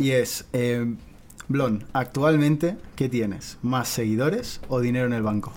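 A man speaks at a medium pitch with ordinary pitch variation. He has a plain, everyday voice. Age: 20s. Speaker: podcast host. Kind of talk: interview.

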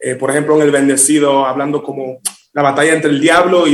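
A man's fairly high voice, fairly even in intonation, at a fairly quick pace. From Miami, Dominican-born. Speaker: singer. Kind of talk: interview.

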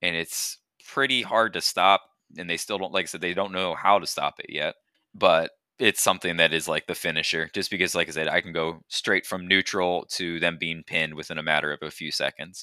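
A man's very deep, low voice with a bright, sharp tone, fairly even intonation and a fairly quick pace, dry and close with no echo on a very clean recording with a silent background. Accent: American. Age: 20s. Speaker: middle school teacher and wrestling coach. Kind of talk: casual interview. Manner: halting.

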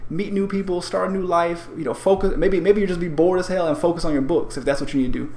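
A man's high-pitched voice at a very fast pace, with hardly any pauses and ordinary pitch variation. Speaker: podcast co-host. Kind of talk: casual chat. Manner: high energy.

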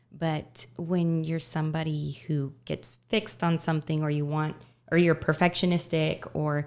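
A woman with an American accent speaks fairly slowly in a very deep, low pitch with monotone, flat intonation, on a very clean recording with a silent background. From Texas, Dallas. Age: 30s. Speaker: festival organizer. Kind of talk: casual chat.

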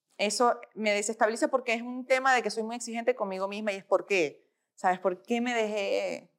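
Here is a woman with an unremarkable speaking voice. She talks fairly quickly at a fairly high pitch. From Venezuela. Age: 40s. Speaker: fitness influencer. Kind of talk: casual interview.

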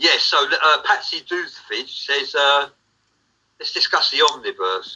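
In an English accent, a man speaks at a fairly slow pace. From England. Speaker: livestream co-host. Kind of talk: casual chat.

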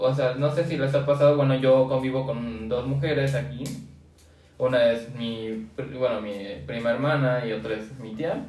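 A man with a Mexican accent at medium pitch, fairly even intonation and a fairly slow pace, with audible room echo and music in the background. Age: young. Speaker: podcast co-host. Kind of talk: casual chat.

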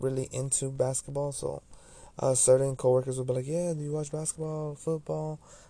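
Speaking at a fairly quick pace, a man with a fairly high pitch uses a dark, mellow tone that is somewhat breathy and keeps a monotone, flat intonation. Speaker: solo podcaster. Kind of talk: personal monologue. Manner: halting.

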